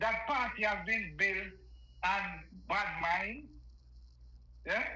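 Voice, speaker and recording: In a Jamaican accent, a man uses a raised, projected voice at a high pitch with ordinary pitch variation and a very slow pace. Noticeable background noise and audible room echo are present. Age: 60s. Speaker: caller. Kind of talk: political rant. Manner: animated.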